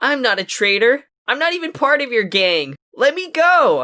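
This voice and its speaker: Putting on a character voice, a man speaks at an extremely high pitch with very wide pitch swings and a moderate pace. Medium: read story. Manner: quiet, innocent-sounding.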